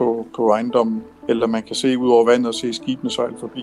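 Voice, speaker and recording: The man speaks in a monotone, flat intonation with noticeable background noise behind him. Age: 50s. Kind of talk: explaining to children.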